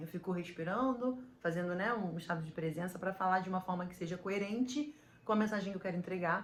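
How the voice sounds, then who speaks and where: A woman speaks at a fairly quick pace, with a medium pitch. Her pitch varies in an ordinary way. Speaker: podcaster and business coach. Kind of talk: motivational talk to camera. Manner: fast.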